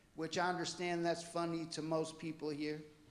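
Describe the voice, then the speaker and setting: In an American accent, a man talks at a moderate pace in a fairly high pitch for a man, his intonation monotone and flat, with audible room echo. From US Pacific Northwest, Port Orchard area. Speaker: public commenter. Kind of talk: public comment at council meeting. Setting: council chambers. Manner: halting.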